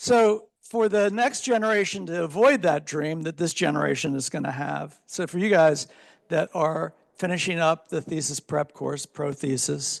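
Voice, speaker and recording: A man talks at a moderate pace in a fairly high pitch, with a normal speaking voice. His intonation is lively. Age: 60s. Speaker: architecture professor. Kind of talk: closing remarks to students.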